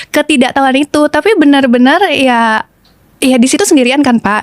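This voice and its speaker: A woman talking at a fairly quick pace, with ordinary pitch variation. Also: dry, close sound with no echo. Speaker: TV presenter. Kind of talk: testimony. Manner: casual, hesitant with fillers.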